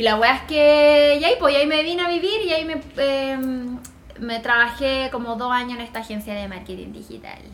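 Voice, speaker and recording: At a fairly quick pace, a woman with a Chilean accent speaks in a high pitch with lively intonation and big swings in loudness. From Chile, Viña del Mar. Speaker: graphic designer and lettering teacher. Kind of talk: casual interview chat.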